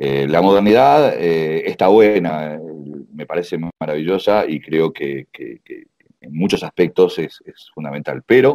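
The voice has a dark, mellow tone. It belongs to a man with a very deep, low pitch. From Uruguay. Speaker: karate master. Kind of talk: interview.

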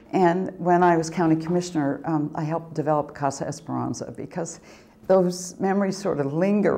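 Fairly low-pitched woman with an American accent at a fairly quick pace, with ordinary pitch variation. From rural Oregon. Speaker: community foundation president. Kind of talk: interview testimony. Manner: hesitant, with fillers. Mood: warm, reflective. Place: home room.

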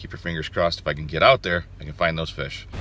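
Dry, with no echo, a man's voice races along at a very fast pace. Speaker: outdoors vlogger. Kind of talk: casual vlog chat. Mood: upbeat, hopeful. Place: car. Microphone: phone near.

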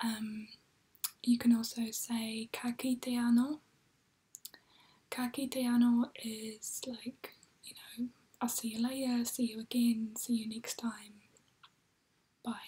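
A soft-spoken woman whispers very slowly in a calm tone, leaving long, frequent pauses. Her loudness swings widely. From New Zealand. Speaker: ASMR creator. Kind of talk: ASMR language lesson. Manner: soft-spoken, whispery, calm.

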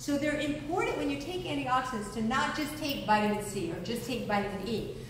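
Noticeable background noise and audible room echo are present. A woman speaks at a moderate pace in a high voice. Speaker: presenter. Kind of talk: lecture. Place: hall. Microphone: camera far.

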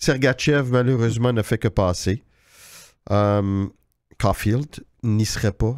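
A man at a medium pitch with ordinary pitch variation, very slow pace, dry sound with no echo and a quiet background. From Quebec. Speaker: hockey journalist, podcast host. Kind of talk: casual chat. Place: studio. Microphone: studio mic.

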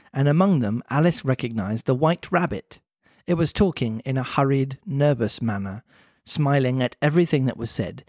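Straightforward reading aloud, background quiet

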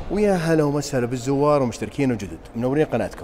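A fairly quick-paced man with ordinary pitch variation over light background noise. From Saudi Arabia. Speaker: car reviewer. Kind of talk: product walkthrough. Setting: car showroom. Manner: fast. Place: shop. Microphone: phone near.

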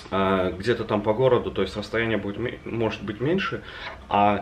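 Over light background noise, a man with an unremarkable speaking voice talks at a fairly slow pace and fairly low pitch, with ordinary pitch variation. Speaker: travel vlogger. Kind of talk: casual vlog chat. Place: home room. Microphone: camera far.

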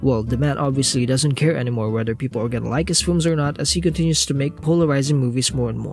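Lively intonation and a very fast pace mark this speaker with a non-native accent, with music playing in the background. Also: man. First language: not English. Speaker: film reviewer. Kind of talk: casual film review talk.

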